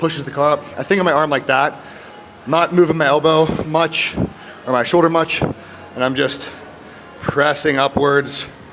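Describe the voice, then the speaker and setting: Amid noticeable background noise, a man speaks at a fairly high pitch in a monotone, flat way, his loudness very even and his speech broken by long, frequent pauses. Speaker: fitness vlogger. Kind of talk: casual gym vlog. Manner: fast; stutters over words.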